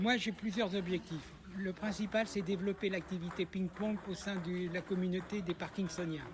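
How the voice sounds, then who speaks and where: A man speaks with a high pitch at a moderate pace. His intonation is monotone and flat. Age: 60s. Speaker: table tennis player with Parkinson's. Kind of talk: interview.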